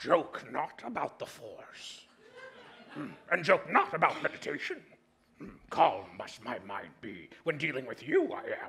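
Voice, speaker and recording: A man's cartoonish character voice at a fairly slow pace, with long, frequent pauses. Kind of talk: puppet comedy, backwards speech. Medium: puppet show. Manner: inverted word order, prickly, defensive.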